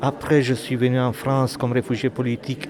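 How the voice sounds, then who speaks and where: A man talks at a moderate pace and medium pitch. There is noticeable background noise. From Romania. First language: Romanian (speaking French). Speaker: author and poet. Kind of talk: interview.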